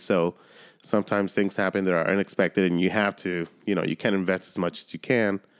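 A man speaks with a very deep, low pitch in a monotone, flat delivery. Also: quiet background. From Southern California, San Diego area, Mexican-American. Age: 30s. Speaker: podcast host. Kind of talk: casual chat.

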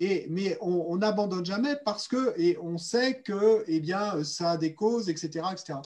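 This man has a high voice and talks very slowly. His pitch varies in an ordinary way, and he hardly pauses at all. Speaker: interpreter. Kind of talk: consecutive interpretation. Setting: video call. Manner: halting.

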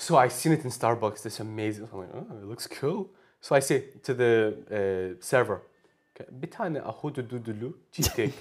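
A man with a Glaswegian accent, medium in pitch, at a fairly quick pace with lively intonation and big swings in loudness. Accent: Glaswegian Scottish. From Scotland, Glasgow. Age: 20s. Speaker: language exchange speaker. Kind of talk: casual interview chat.

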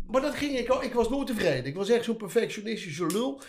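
The intonation is lively. The delivery comes at a very fast pace. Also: man. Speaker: veteran tattoo artist. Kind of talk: casual chat.

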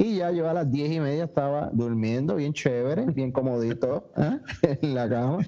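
Over noticeable background noise, a man with a Puerto Rican accent speaks at a fairly slow pace with ordinary pitch variation. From Puerto Rico, Añasco. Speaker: podcast co-host. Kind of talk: casual chat.

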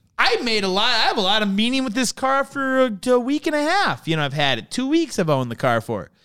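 Projecting a raised voice, a man with an extremely high pitch and a bright, sharp tone races at a very fast pace with hardly any pauses and very wide pitch swings. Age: 30s. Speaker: car enthusiast. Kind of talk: casual chat. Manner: animated.

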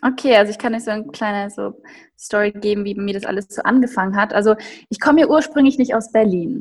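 Somewhat breathy, a woman speaks at a very fast pace in a fairly high voice with ordinary pitch variation. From Upper Bavaria, Germany. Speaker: professional ballet dancer. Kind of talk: casual interview.

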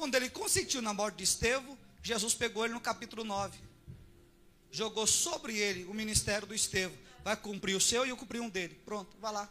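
Over noticeable background noise, a man with a high pitch projects a raised voice at a fairly quick pace, with ordinary pitch variation. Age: 40s. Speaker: pastor. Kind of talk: sermon.

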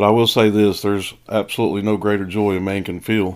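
With an East Tennessee accent, the speaker goes at a fairly quick pace in a very clean recording with a silent background. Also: man. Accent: Southern US (East Tennessee). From East Tennessee, outskirts of Knoxville. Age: 40s. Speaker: pastor and podcast host. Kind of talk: personal testimony. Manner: casual, folksy.

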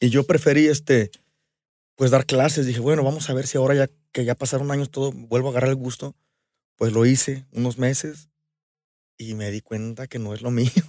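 A man with a dark, mellow tone talks at a fairly quick pace but with long, frequent pauses, in a very clean, silent-background recording that sounds dry and close with no echo. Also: medium pitch for a man, fairly even intonation. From Mexico, Aguascalientes. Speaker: musician. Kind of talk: casual chat.

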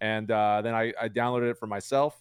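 A man with an American accent and an ordinary speaking voice, medium pitch, moderate pace, dry, close sound with no echo. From Chicago, US Midwest. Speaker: Twitch streamer, card game player. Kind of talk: casual chat.

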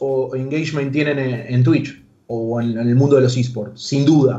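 A man with a Rioplatense accent at a fairly slow pace, with audible room echo. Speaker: youtuber and esports manager. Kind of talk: radio interview.

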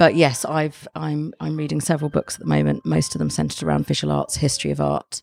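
A woman talks at a fairly quick pace. The sound is dry and close, with no echo. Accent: London. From London. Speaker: arts journalist and editor. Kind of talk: casual interview. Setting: gallery cafe.

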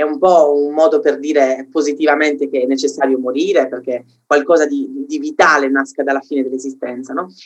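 Speaking at a fairly quick pace, a man uses a fairly high pitch and a monotone, flat intonation. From Sardinia, Cagliari. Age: 20s. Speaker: philosophy content creator. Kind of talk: casual interview. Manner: halting, repeats words.

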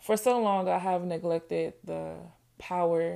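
On a very clean recording with a silent background, a woman with an American accent speaks at a very slow pace. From Ohio (Toledo) until 13, then Nashville, Tennessee. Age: 20s. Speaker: podcast host. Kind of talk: personal monologue.

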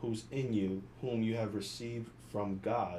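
The tone is dark and mellow with fairly even intonation. There is audible room echo. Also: man. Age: 20s. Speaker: podcast co-host. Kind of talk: casual chat.

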